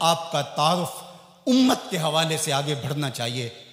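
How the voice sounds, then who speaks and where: A man speaks in a passionate tone at a fairly high pitch. Noticeable background noise runs underneath. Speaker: Islamic preacher. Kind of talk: Islamic sermon / religious lecture. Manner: passionate, emotional, rhetorical.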